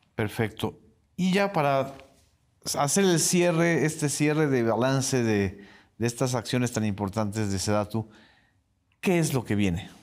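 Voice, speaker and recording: A man with lively intonation, very even loudness, and a fairly slow pace with long, frequent pauses, over a quiet background. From Yucatán, Mexico. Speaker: interviewer host. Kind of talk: formal interview. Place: studio. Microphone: lapel.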